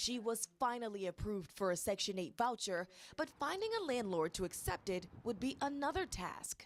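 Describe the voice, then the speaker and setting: An unremarkable speaking voice keeps a moderate pace with hardly any pauses and lively intonation. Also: woman, fairly high pitch for a woman. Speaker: news anchor. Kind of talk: local TV news anchor delivery. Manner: clear, polished, broadcast-style.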